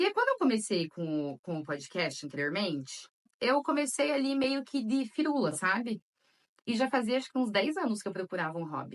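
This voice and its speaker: This voice moves at a moderate pace with very wide pitch swings. The sound is dry and close, with no echo. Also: woman. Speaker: podcast host and storyteller. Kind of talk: solo podcast introduction. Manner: chatty, conversational.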